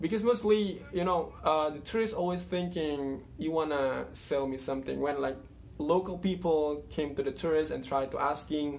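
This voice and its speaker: Lively intonation in a man's voice pitched fairly high. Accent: Indonesian. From Indonesia. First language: Indonesian. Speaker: YouTuber, English learner. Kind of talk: casual vlog monologue. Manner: halting, many fillers.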